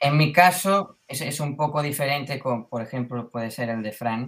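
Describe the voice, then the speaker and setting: This man has an unremarkable speaking voice, keeping a moderate pace and ordinary pitch variation. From Mallorca, Spain. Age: 20s. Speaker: beginning market gardener. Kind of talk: casual interview chat.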